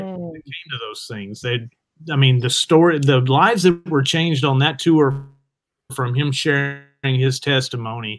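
In a Southern US accent, the speaker talks at a fairly slow pace with ordinary pitch variation. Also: man. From US South. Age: 40s. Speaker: rock guitarist and producer. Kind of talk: casual interview.

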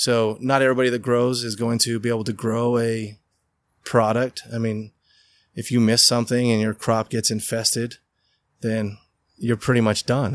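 With an American accent, a man speaks at a medium pitch. His pace is moderate, on a very clean recording with a silent background. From Utah (Riverton). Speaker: hemp farmer. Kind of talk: interview. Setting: indoor grow facility.

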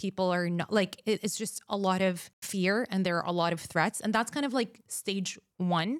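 In an Arabic accent, a woman speaks at a moderate pace in a dry, close sound with no echo on a very clean recording with a silent background. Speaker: communications expert. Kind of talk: interview conversation.

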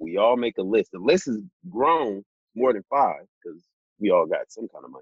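A man speaks at a moderate pace with an American accent. His loudness swings widely, and he takes long, frequent pauses. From Los Angeles, California. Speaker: podcast co-host. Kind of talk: casual chat.

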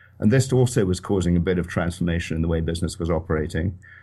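Against a quiet background, a man with a Scottish accent speaks at a very fast pace. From Scotland, Edinburgh. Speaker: financial journalist and author. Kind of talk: interview.

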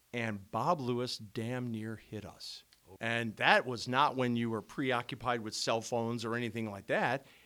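The man talks at a fairly slow pace with a medium pitch and fairly even intonation. His loudness swings widely. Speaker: radio host. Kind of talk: casual chat. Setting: studio.

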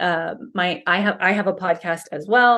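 A woman speaks with ordinary pitch variation around a medium pitch. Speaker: guest, business owner and homeschooling mom. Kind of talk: casual interview chat. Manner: loud, outgoing.

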